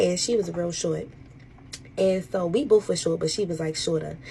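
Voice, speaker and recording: Here a woman talks at a fairly quick pace. Her pitch is fairly low. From Baltimore, Maryland. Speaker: social media storyteller. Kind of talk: storytime rant. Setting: at work. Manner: animated; whispering.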